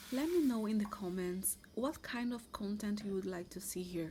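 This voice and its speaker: A woman's fairly high, somewhat breathy voice with a dark, mellow tone, lively intonation and a Brazilian accent. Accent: Brazilian Portuguese accent, noticeable. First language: Portuguese. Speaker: vlogger. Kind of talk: casual vlog talk to camera. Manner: halting, with restarts and fillers.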